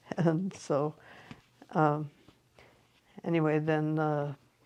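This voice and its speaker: Speaking with a Western US accent, a woman with a very deep, low pitch keeps a monotone, flat intonation. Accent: American, Western US. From Montana. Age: 80s+. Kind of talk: interview answer.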